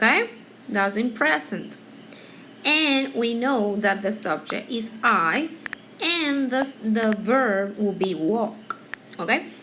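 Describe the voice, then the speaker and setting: A woman with a fairly high pitch talks at a very slow pace, with long, frequent pauses and lively intonation. Noticeable background noise is present. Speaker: teacher. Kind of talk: tutorial. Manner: halting.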